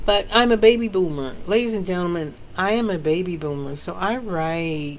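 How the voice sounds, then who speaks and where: In a room with audible echo, a woman with an American accent speaks at a fairly low pitch and a moderate pace, her tone animated and her intonation lively. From US South. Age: 50s. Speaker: author. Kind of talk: casual chat.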